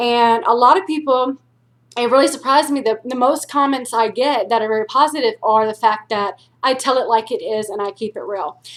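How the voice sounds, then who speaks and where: A woman speaks at a fairly quick pace in a high voice, with ordinary pitch variation. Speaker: weight loss vlogger. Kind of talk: personal vlog. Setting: at home, quiet. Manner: blunt, intimidating tone.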